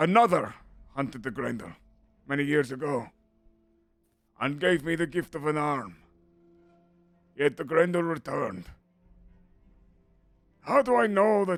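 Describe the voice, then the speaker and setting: A man uses a put-on character voice that is raspy and fairly high in pitch. He takes long, frequent pauses, with music in the background. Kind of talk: regal proclamation. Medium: actual play.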